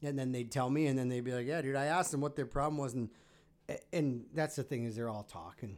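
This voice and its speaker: Using a normal speaking voice, a man talks at a fairly quick pace, his fairly high pitch carrying ordinary variation. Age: 30s. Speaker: car content creator. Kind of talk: casual chat. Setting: studio.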